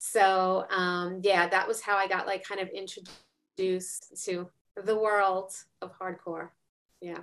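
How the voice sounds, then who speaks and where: A woman's medium-pitched voice with an American accent, very slow and flat in a monotone. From New York. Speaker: science researcher and ceramic artist. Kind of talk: casual chat.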